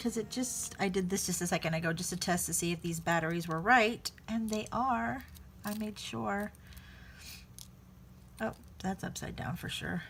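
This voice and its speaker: A woman speaks at a moderate pace, with long, frequent pauses. Her fairly low voice carries vocal fry and lively intonation. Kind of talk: casual tutorial talk to camera.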